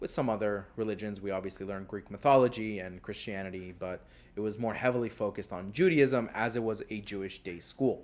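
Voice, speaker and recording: This man has a plain, everyday voice and talks fairly quickly. His medium pitch shows ordinary variation. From US, South Florida (moved from Israel as small child). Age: 30s. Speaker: podcast host. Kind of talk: casual monologue. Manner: casual, with filler words.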